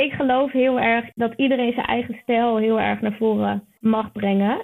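A woman's fairly high voice at a fairly slow pace, with monotone, flat intonation. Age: 20s. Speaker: online marketer and business coach. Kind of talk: podcast interview.

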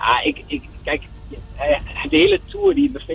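A man speaks against noticeable background noise. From Netherlands, Enschede (Twente). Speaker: professional padel player. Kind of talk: phone interview. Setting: phone call.

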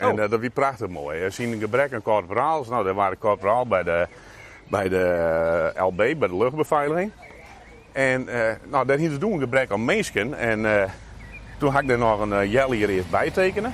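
A man at medium pitch and moderate pace, lively in intonation, over noticeable background noise. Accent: Frisian. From Friesland, Netherlands. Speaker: local politician. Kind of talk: casual interview. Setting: outdoors. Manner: halting.

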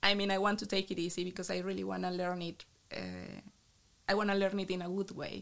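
With a Colombian accent, a woman speaks at a very fast pace and medium pitch with monotone, flat intonation. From Colombia, Bucaramanga. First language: Spanish. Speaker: biologist, researcher. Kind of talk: casual interview.

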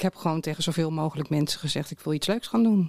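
Recorded dry and close with no echo, a woman speaks in a very deep, low voice with ordinary pitch variation. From Netherlands, Delft. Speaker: concert project coordinator. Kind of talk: casual interview chat. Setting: studio. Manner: halting, repeats words.

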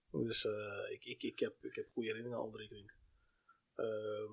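A man talks in a dry, close sound with no echo. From Amsterdam, Netherlands. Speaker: sports agent, former youth footballer and coach. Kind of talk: casual chat.

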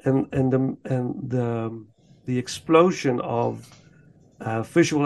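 A man with a Dutch accent speaks very slowly in a fairly high pitch. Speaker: podcast host. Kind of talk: casual chat.

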